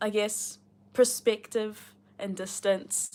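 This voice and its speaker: A woman with a New Zealand accent on a very clean recording with a silent background. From New Zealand, Rotorua. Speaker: booktuber reading a novel aloud on a livestream. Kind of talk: reading aloud with casual chat to live viewers. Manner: casual, chatty with many fillers.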